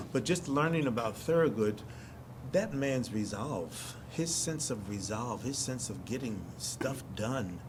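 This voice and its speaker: A man with an American accent speaks at a very slow pace, his medium-pitched voice carrying lively intonation amid audible room echo. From US Northeast, North Philadelphia. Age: 70s. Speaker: stage actor. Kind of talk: interview. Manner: halting, frequent restarts.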